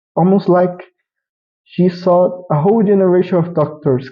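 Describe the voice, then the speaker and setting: A man at a moderate pace with a non-native accent and fairly even intonation. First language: not English. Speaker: vtuber anime reviewer. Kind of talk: casual review monologue. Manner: halting, with restarts.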